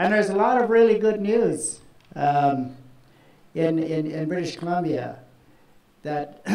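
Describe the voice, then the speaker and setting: Audible room echo surrounds a man who talks at a fairly slow pace with ordinary pitch variation. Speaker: speaker. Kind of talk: public speech. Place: stage. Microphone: handheld.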